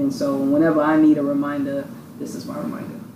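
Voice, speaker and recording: The speech comes at a very fast pace in a New York accent. Noticeable background noise runs underneath. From Brooklyn, New York. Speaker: youth program founder. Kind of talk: casual chat.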